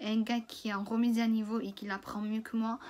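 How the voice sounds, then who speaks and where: A woman speaks with monotone, flat intonation at a fairly high pitch. Her voice is somewhat breathy. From France. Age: 20s. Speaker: cooking trainee. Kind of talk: casual story time to camera. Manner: casual, hesitant.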